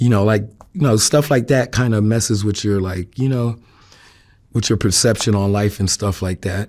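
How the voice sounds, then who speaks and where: A man with a New York accent, fairly low-pitched, at a moderate pace with ordinary pitch variation, on a very clean recording with a silent background. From New York City (Queens). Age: 40s. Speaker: interviewee sharing life story. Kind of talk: interview testimony. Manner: hesitant, many fillers.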